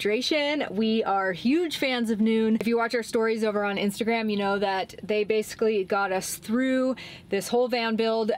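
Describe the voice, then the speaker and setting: The speech moves at a moderate pace with hardly any pauses and ordinary pitch variation. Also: woman. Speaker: van life vlogger. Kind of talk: sponsor read, casual vlog chat. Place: car. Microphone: camera far.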